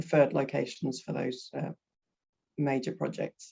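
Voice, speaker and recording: The pace is fairly slow. The speaker has a British accent. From Britain. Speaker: energy consultant. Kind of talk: webinar presentation. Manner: halting, many fillers.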